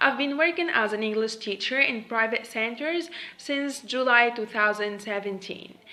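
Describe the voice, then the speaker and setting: A woman with a Tunisian accent, fairly high in pitch, at a moderate pace amid noticeable background noise. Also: ordinary pitch variation. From Tunisia (Monastir). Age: 20s. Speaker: English teacher. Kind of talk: self-introduction video. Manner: hesitant.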